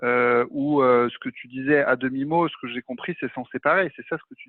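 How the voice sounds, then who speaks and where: A man with an unremarkable speaking voice talks at a moderate pace and medium pitch. His intonation is fairly even, with big swings in loudness. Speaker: masterclass host. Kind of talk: interview. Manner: casual, many fillers.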